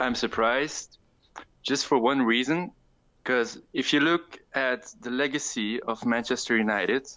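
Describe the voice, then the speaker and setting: A man with a non-native accent speaks at a medium pitch. His pace is fairly slow. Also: ordinary pitch variation. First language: not English. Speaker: caller. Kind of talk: phone-in call. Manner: halting.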